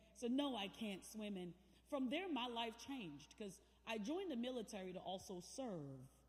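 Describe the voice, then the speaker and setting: A woman speaks at a moderate pace with lively intonation. The room echo is audible, and background noise is noticeable. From Jamaica (Kingston). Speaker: guest speaker, navy veteran. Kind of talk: inspirational speech. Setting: church event with audience. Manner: conversational, engages audience.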